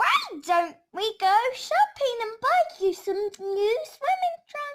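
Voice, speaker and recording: A woman speaks in a put-on character voice that is squeaky and extremely high in pitch. Her pace is very slow. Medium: read story. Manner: upbeat, encouraging.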